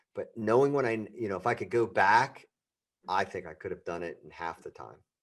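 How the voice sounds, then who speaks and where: Speaking fairly quickly in a plain, everyday voice, a man of medium pitch shows ordinary pitch variation and big swings in loudness. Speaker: entrepreneur and podcast host. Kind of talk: interview. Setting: podcast interview.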